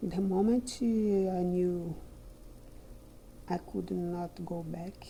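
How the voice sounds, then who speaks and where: Her calm voice is dark, mellow and somewhat breathy, with a fairly low pitch. The woman speaks very slowly with fairly even intonation. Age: 60s. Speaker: retired teacher. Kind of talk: personal reflection monologue.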